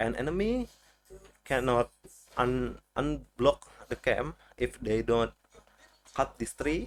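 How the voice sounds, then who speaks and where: A man talks at a very slow pace with a non-native accent. Long pauses come often. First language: not English. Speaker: video game guide creator. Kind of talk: tutorial. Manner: halting.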